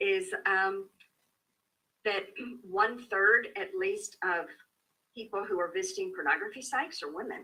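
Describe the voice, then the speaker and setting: A woman speaks at a fairly slow pace with long, frequent pauses. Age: 60s. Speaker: therapist and author on sex addiction. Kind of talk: interview. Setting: Facebook live video. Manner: hesitant, many fillers.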